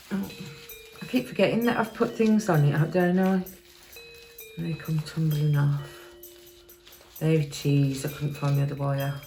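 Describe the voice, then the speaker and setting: A woman with an English accent and a very deep, low pitch mumbles at a moderate pace. Long, frequent pauses come through over noticeable background noise. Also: lively intonation. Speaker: craft video maker. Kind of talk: tutorial. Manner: mumbling; halting.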